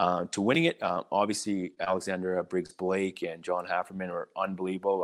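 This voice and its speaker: With a Canadian accent, a man talks at a fairly quick pace with hardly any pauses, in a very deep, low pitch and monotone, flat intonation, on a very clean recording with a silent background and a dry, close sound with no echo. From British Columbia, Canada (small mining town). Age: 40s. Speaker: hockey diversity mentor. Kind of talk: interview.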